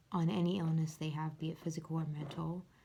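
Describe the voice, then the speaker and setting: A quiet woman talks at a fairly quick pace, her pitch fairly low and her tone dark and mellow. Her intonation stays monotone and flat. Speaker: mental health vlogger. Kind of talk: casual vlog book review. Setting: at home upstairs, late night. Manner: quiet, hushed; halting with fillers.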